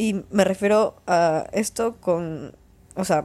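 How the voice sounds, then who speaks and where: In a very clean recording with a silent background, a woman speaks at a medium pitch in a dark, mellow tone with ordinary pitch variation. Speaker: podcast host. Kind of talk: casual monologue.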